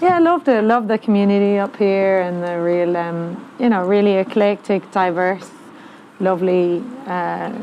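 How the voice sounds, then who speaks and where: Over noticeable background noise, a woman with an Irish accent speaks at a moderate pace and medium pitch with ordinary pitch variation. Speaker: touring musician. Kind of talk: casual chat.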